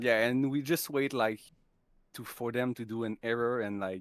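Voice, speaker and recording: The speaker has a French accent. Intonation stays fairly even. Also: man, very clean recording, silent background. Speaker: esports player. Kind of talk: post-match interview. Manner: halting.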